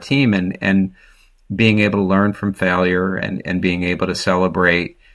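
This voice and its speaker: Speaking in an American accent, a man keeps a moderate pace. Clean recording, with total silence behind him. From New Jersey. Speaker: business executive. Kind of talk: podcast interview. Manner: conversational, hesitant with fillers.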